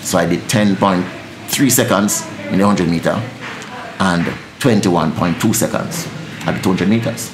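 Lively intonation in a Jamaican accent comes with long, frequent pauses and noticeable background noise. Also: man, fairly low pitch for a man. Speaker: dancehall deejay. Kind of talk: interview answer. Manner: fast-talking, energetic. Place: studio.

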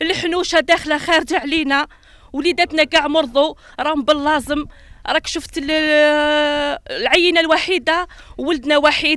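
Someone talks at a moderate pace with an Algerian accent. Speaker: local resident, parent. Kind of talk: street interview complaint.

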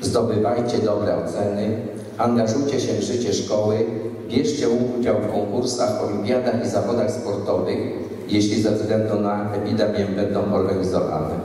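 A man speaks with a fairly low pitch at a moderate pace. Strong room echo surrounds his voice. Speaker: school principal. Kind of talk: ceremonial speech. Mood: solemn, encouraging. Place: hall.

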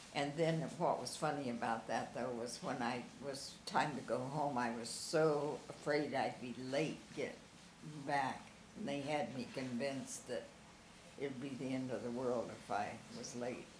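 Through audible room echo and light background noise, a woman speaks at a very deep, low pitch and a fairly slow pace, with ordinary pitch variation. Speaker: interviewee recalling family memories; interviewee. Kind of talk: oral history interview. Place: home room. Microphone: camera far.

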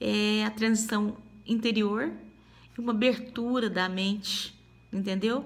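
A woman's very slow, somewhat breathy speech with long, frequent pauses, very even loudness and fairly even intonation. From Minas Gerais, Brazil. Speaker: testimony giver. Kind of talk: testimony. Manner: halting. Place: home room. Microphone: phone near.

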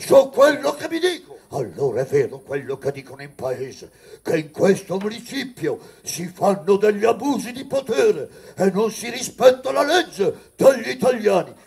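Speaking at a moderate pace, a man uses an extremely high pitch with very wide pitch swings and big swings in loudness. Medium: read story. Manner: defiant, accusing, grimly resolute.

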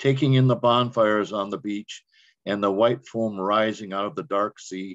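A man talks in an ordinary speaking voice with a fairly low pitch and fairly even intonation. His pace is moderate, and the background is quiet. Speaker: open mic poet. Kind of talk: poetry reading.

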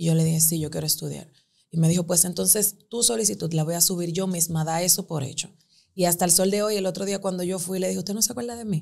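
The background is quiet as a woman talks at a very fast pace. Her voice has a dark, mellow tone, a fairly low pitch and fairly even intonation. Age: 20s. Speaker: lawyer and image consultant; lawyer. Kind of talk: interview. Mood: emotional personal storytelling. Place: studio. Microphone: studio mic.

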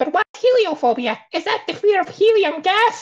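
A squeaky, put-on character voice at an extremely high pitch. It moves at a moderate pace. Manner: silly, exaggerated comedic voice.

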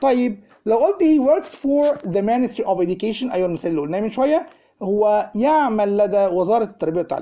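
A man speaks at a fairly quick pace with a high pitch and very wide pitch swings. His tone is dark and mellow, with an Egyptian accent. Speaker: English teacher. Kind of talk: lecture. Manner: animated. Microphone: phone near.

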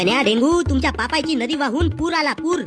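A cartoonish character voice plays over faint music in the background. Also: moderate pace. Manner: commanding, scolding.

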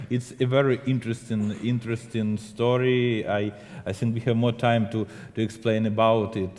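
A man's medium-pitched voice at a moderate pace, with monotone, flat intonation. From Ukraine. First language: Ukrainian or Russian. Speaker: film director. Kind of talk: interview. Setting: stage with audience. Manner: halting.

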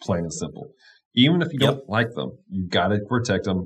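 This man speaks at a fairly quick pace, at medium pitch. His voice is somewhat breathy. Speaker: pastor. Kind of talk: Bible study discussion. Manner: enthusiastic. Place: home room. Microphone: studio mic.

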